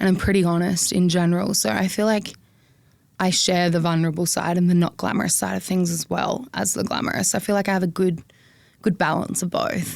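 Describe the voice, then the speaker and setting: A woman with an Australian accent, medium pitch and fairly quick pace, on a very clean recording with a silent background. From South Australia, country town. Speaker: social media influencer. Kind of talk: interview. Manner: expressive, animated.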